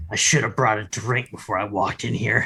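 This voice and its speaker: A man talks at a fairly quick pace in a raspy, put-on character voice. His pitch sits fairly low. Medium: actual play. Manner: gruff, grumbling.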